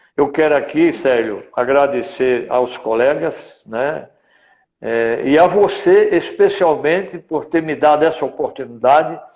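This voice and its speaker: Speaking at a fairly slow pace, this man has a fairly high pitch. His pitch varies in an ordinary way. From Brazilian Northeast, Rio Grande do Norte. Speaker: veterinary council president. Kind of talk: live stream interview. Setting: online live stream.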